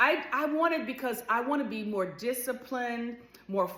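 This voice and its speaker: A woman's high-pitched voice with very wide pitch swings over noticeable background noise. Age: 60s. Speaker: lifestyle vlogger. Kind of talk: casual vlog monologue.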